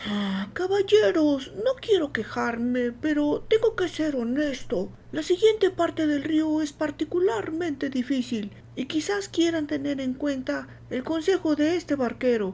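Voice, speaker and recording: A woman in a put-on character voice speaks high and at a moderate pace, her pitch swinging very widely over clear background noise. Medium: read story. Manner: blunt, folksy.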